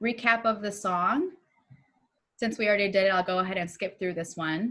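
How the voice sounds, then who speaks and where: A woman speaks in a medium-pitched voice. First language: not English. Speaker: music curriculum trainer. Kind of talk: online training tutorial. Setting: video call. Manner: upbeat.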